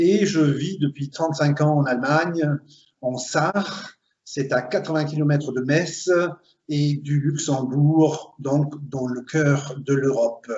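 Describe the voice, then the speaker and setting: Somewhat breathy and very slow, a man speaks at a fairly high pitch with fairly even intonation. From Belgium (Flemish, Limburg). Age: 50s. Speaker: recruiter, HR consultant. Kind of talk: interview.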